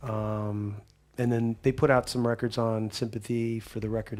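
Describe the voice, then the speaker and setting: The voice is quiet and moves at a fairly slow pace. Its intonation is monotone and flat. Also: man. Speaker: rock band frontman. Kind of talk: talk show interview. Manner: quiet offstage; halting, many fillers and restarts.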